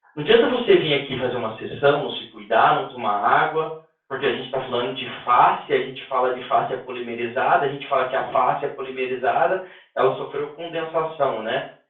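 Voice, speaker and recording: Fairly quick speech from a man, fairly high-pitched, with ordinary pitch variation. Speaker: instructor teaching a rehabilitation technique course. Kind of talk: online lecture. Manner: fast.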